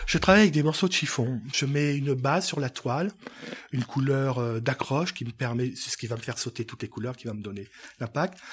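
Somewhat breathy, a man with a fairly high pitch talks at a fairly quick pace with lively intonation. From Africa. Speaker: painter. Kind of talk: interview.

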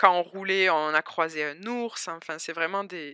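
With a southern French accent, a woman speaks at a fairly low pitch in a bright, sharp tone. The sound is dry and close with no echo, and the recording is very clean with a silent background. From southern France, Albi near Toulouse. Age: 20s. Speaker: immigrant entrepreneur. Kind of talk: interview testimony.

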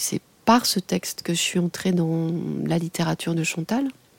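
The woman's tone is dark and mellow, her pace fairly slow, and the sound dry and close with no echo. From France, Lorraine. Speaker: radio journalist and music critic. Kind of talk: interview testimony. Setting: radio studio.

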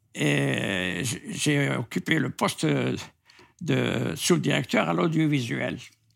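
A man's very deep, low, vocal-fry voice at a very slow pace, with very wide pitch swings, long, frequent pauses, and a very clean recording with a silent background. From Algeria. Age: 80s+. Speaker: writer. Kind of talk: interview. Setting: at his home.

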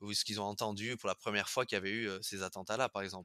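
Bright and sharp, a man's fairly low voice comes through dry and close with no echo, in a very clean recording with a silent background. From French Basque Country. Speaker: pastry chef. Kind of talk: interview. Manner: halting.

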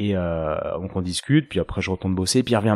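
Here a man speaks at a fairly quick pace. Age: 30s. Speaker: osteopath and podcast host. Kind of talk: interview answers, casual chat. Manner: hesitant, many fillers and repetitions.

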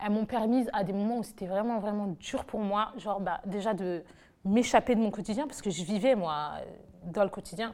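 An unremarkable speaking voice from a woman, medium in pitch, fairly quick, with fairly even intonation. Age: 20s. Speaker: nurse. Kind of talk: testimony. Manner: casual.

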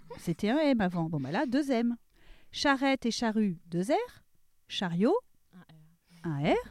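A woman with a fairly high pitch talks at a very slow pace, her pitch swinging very widely between long, frequent pauses. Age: 40s. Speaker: podcast columnist. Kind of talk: scripted humorous segment.

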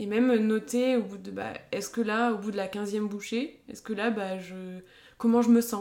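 A woman's voice has a dark, mellow tone at medium pitch. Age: 20s. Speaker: dietitian. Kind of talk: interview.

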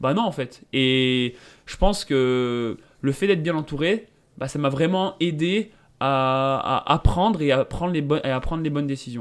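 Pitch moves with ordinary variation. The pace is fairly slow. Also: man, fairly high pitch for a man. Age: 20s. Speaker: mountain runner and software engineer. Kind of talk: interview. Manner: hesitant, many fillers.

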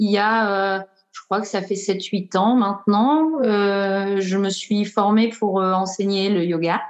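A woman's voice at medium pitch. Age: 40s. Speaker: breathwork practitioner. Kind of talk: casual interview. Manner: hesitant, many fillers.

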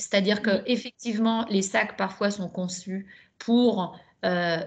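Somewhat breathy, a woman with a medium pitch speaks at a very slow pace with fairly even intonation. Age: 50s. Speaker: ultrarunner. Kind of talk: casual chat.

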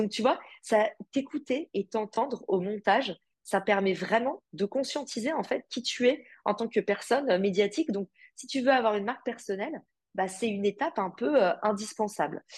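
A woman's fairly high, somewhat breathy voice with lively intonation at a moderate pace. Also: dry, close sound with no echo. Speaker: entrepreneur and podcast host. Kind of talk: interview conversation.

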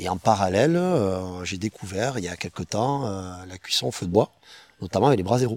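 Pitched very deep and low, a man talks at a fairly slow pace with ordinary pitch variation. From Perpignan, French Catalonia. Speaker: street food chef and caterer. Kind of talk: casual interview chat.

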